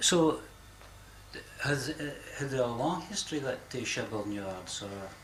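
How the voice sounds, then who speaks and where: A man's medium-pitched voice, fairly slow with long, frequent pauses and lively intonation, against noticeable background noise. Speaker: interviewer. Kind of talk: interview question.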